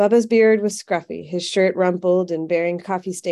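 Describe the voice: The words are simply read aloud, plainly.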